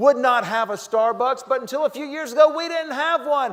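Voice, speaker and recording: With a Southern US accent, a man speaks at a moderate pace in an upbeat, energetic tone with lively intonation. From North Carolina. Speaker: motivational humorist, keynote speaker. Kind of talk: humorous keynote speech to live audience.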